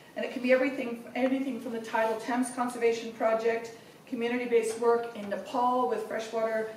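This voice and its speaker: A woman speaks at a fairly quick pace with fairly even intonation. Audible room echo and light background noise are present. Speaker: host introducing a speaker. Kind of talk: formal speaker introduction. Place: hall.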